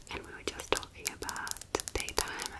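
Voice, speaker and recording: A woman whispering in a gentle tone. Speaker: ASMR creator playing a friend. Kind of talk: ASMR role play with personal attention. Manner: soft, friendly, gentle. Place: home room. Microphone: studio mic.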